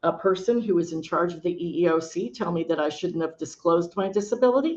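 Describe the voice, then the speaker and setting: A woman speaks at a fairly low pitch with ordinary pitch variation, in an unremarkable speaking voice. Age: 60s. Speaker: nurse and home care administrator. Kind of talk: panel discussion.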